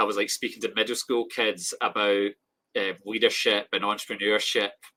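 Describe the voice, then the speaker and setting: With a Scottish accent, a man speaks in a bright, sharp tone and fairly even intonation. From Scotland. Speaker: grower and small business owner. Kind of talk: casual chat.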